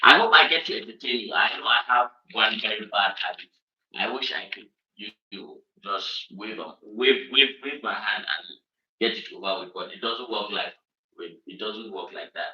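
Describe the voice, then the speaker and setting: A man with a northern Nigerian accent speaks at a moderate pace. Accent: northern Nigerian (Hausa) English. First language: Hausa. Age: 30s. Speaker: online show host. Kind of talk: livestream monologue. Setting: home room, livestream. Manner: frequent filler hesitations (um, uh).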